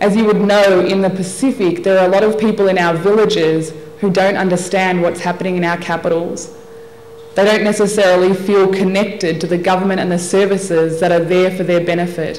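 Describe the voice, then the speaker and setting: In an Australian accent, a woman talks at a fairly quick pace with monotone, flat intonation and very even loudness. Audible room echo and noticeable background noise are present. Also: medium pitch for a woman. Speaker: development specialist and lawyer. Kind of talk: formal speech. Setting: workshop audience at convention centre.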